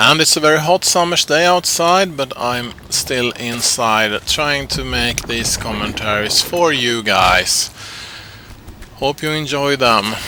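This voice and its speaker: At a very slow pace, a man with a Swedish accent and a fairly high pitch speaks with lively intonation over noticeable background noise. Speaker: game commentator.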